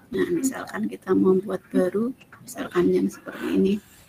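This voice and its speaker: The speaker is soft-spoken and talks at a moderate pace with noticeable background noise. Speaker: teacher and workshop trainer. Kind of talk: online training tutorial.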